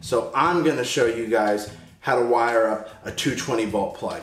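A man speaks at a moderate pace with ordinary pitch variation, with audible room echo and faint music in the background. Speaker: host. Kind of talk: tutorial. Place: garage.

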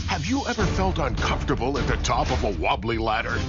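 A man is speaking. Music plays in the background. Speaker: voice-over narrator. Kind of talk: TV commercial read.

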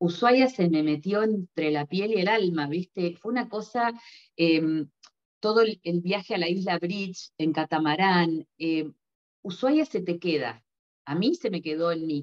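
The speech moves at a fairly slow pace with ordinary pitch variation, set against a quiet background. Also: woman, fairly low pitch for a woman. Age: 50s. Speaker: novelist; interviewee. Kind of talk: interview; interview answer. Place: home room. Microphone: video call.

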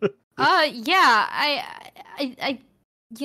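A woman's voice with a bright, sharp tone. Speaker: tabletop role-play player. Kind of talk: casual tabletop role-play chat.

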